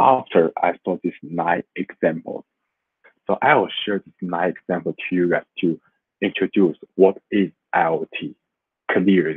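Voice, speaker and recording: Speaking in a Chinese accent, a man goes at a fairly slow pace with long, frequent pauses. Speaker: student. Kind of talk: class presentation. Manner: halting.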